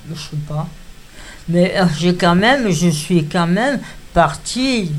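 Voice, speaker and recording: This woman's voice sits fairly low in pitch and moves with ordinary pitch variation. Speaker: retirement home resident. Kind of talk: personal testimony.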